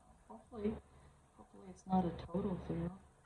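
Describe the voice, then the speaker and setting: A woman mumbles at a moderate pace. Noticeable background noise and audible room echo are present. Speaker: resin crafting YouTuber. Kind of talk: casual crafting tutorial. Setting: at home with dogs and chickens. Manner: mumbling. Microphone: no microphone, camera mic.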